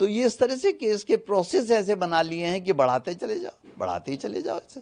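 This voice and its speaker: Very wide pitch swings at a moderate pace. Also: man, high pitch for a man. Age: 70s. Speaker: lawyer interviewed about an incident. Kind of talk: interview.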